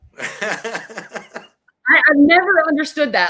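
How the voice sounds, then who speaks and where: A woman with an American accent speaks in a raised, projected voice. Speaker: music interview show host. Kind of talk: casual interview chat. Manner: talkative.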